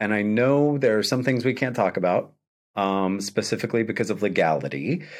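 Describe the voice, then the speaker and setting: Recorded very cleanly against a silent background, a man speaks at a medium pitch with lively intonation. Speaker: podcast host. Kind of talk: casual interview chat. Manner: warm, enthusiastic.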